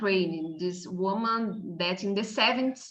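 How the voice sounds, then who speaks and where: A woman speaks in a Brazilian Portuguese accent with audible room echo. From Brazil, São Paulo. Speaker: university professor. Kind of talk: seminar lecture. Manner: halting, many hesitations.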